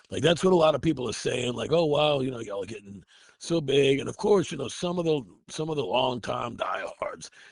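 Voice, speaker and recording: A fairly high-pitched man's voice with vocal fry at a fairly quick pace. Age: 60s. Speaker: metal band vocalist and guitarist. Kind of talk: interview. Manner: halting, many fillers and repeats.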